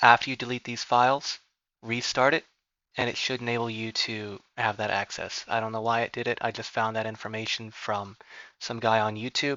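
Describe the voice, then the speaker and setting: Soft-spoken and flat, a man of medium pitch talks at a fairly quick pace in a monotone. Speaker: gaming clan quartermaster. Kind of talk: tech tutorial voiceover.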